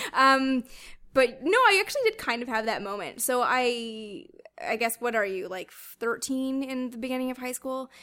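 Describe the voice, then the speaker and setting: A woman with a Canadian accent uses a raised, projected voice at a high pitch, with a bright, sharp tone, ordinary pitch variation, a moderate pace and big swings in loudness. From Canada. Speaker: author and space flight historian. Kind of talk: casual interview chat. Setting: host's home.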